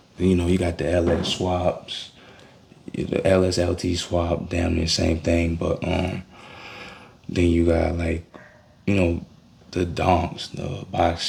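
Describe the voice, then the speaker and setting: Speech at a very slow pace, with long, frequent pauses and monotone, flat intonation, sits over noticeable background noise. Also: man, very deep, low pitch for a man. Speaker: amateur mechanic vlogger. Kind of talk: casual talk while repairing a car. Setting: outdoors.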